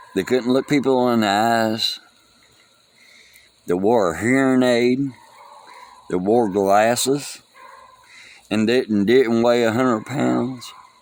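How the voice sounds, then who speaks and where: Amid noticeable background noise, a man speaks very slowly at a medium pitch, with fairly even intonation and long, frequent pauses. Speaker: vlogger mourning a friend. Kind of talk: casual monologue. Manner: halting, loses track.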